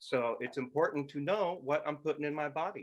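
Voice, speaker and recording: A man talks with a creaky vocal fry. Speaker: pastor. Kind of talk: sermon. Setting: live audio stream. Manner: occasionally slurred speech.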